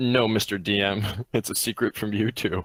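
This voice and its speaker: A man performs a put-on character voice at a fairly low pitch and moderate pace. The sound is dry and close, with no echo. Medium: actual play.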